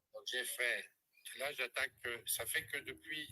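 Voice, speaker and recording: The sound is close and dry, without echo. The speaker is a man. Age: 60s. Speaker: live stream testimony guest, former clinic director. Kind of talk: testimony.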